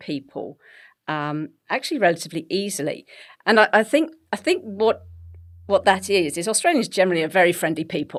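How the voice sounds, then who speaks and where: This woman talks with an English accent, neither fast nor slow. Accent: English, BBC-style. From England. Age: 50s. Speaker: health coach and bodybuilder. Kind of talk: podcast interview.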